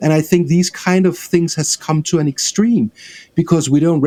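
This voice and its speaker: A man's dark, mellow voice moves at a moderate pace. The recording is dry and close, without echo. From Denmark. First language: Danish. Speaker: film director. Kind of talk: interview.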